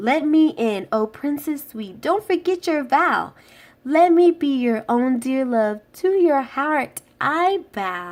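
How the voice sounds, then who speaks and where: A woman puts on a croaky character voice at a high pitch. She speaks at a fairly slow pace in the act. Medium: read story.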